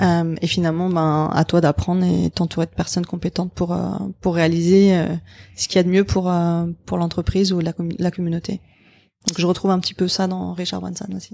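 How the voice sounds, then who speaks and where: At a fairly quick pace, a woman with a fairly low pitch and a dark, mellow tone speaks in a monotone, flat intonation, with a dry, close sound with no echo in a very clean recording with a silent background. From abroad, mostly Asia from age 10. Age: 30s. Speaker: startup founder. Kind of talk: interview.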